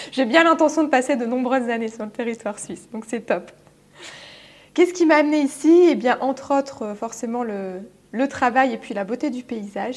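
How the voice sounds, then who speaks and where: Here a woman speaks at high pitch. Her loudness swings widely. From France. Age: 30s. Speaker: business coach. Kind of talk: interview. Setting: studio.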